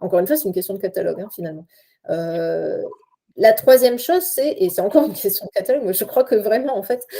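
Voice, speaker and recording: At a very fast pace, a woman speaks in a fairly high pitch with very wide pitch swings and a dark, mellow tone. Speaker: university researcher and lecturer. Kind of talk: casual chat; conference talk. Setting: video call. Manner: halting.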